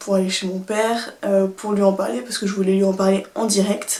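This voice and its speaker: Noticeable background noise sits behind this woman's voice. She speaks at a fairly quick pace with a medium pitch. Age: 20s. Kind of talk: casual storytime talk to camera.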